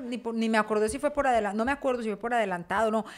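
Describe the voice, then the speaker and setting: Speaking at a very fast pace with an animated tone, a woman with a Paisa accent uses a high pitch and ordinary pitch variation. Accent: Paisa (Medellín). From Colombia, Medellín. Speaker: podcast co-host. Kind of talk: casual chat. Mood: lively, humorous storytelling. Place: home room. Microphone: studio mic.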